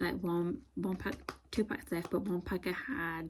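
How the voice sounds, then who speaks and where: A woman speaks quietly with ordinary pitch variation. Noticeable background noise is present. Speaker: vlogger. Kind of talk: casual vlog chat. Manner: quiet, hushed.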